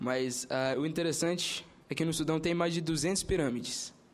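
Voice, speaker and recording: With an Arabic accent, a man speaks using fairly even intonation. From Sudan. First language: Arabic (speaking Portuguese). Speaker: university student. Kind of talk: formal presentation at a hearing. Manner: halting.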